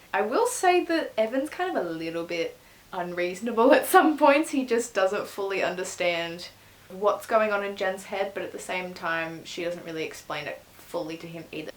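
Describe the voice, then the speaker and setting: The speaker has an Australian accent and a moderate pace. Intonation is lively, with big swings in loudness. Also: woman, medium pitch for a woman. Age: 20s. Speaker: book reviewer. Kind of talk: casual talk to camera.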